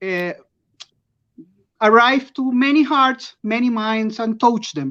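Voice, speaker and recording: A woman talks with a non-native accent and a fairly high pitch. Her intonation is lively. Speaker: award-winning artist. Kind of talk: live interview. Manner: halting.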